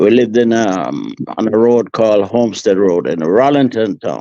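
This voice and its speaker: At a moderate pace, a man talks in a dark, mellow tone at medium pitch with ordinary pitch variation. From Jamaica (Manchester, raised in Kingston). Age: 80s+. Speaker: veteran radio broadcaster. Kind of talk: interview conversation. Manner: halting, many fillers.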